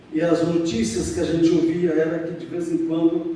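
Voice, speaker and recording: The man's pitch is high, his pace fairly slow and his intonation fairly even. Noticeable background noise and audible room echo fill the recording. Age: 70s. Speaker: church member giving testimony. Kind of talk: testimony. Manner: halting.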